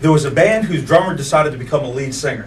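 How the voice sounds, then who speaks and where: A man's fairly high-pitched voice carries lively intonation, with audible room echo and noticeable background noise. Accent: American. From Virginia, Colonial Heights area. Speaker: musician, bass player and singer. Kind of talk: interview. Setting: studio.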